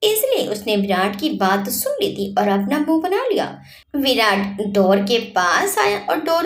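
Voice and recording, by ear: A passage is read aloud. The voice sounds natural.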